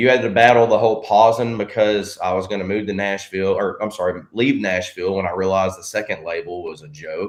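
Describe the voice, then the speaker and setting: A man talks at a very fast pace in a fairly low pitch, his intonation fairly even. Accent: Southern US. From Arkansas. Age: 30s. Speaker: country singer-songwriter. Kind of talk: podcast interview.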